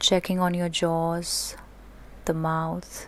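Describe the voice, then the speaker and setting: The voice has a calm, soothing tone and moves at a very slow pace. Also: woman. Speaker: yoga teacher. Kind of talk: guided relaxation. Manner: slow, calm, soothing.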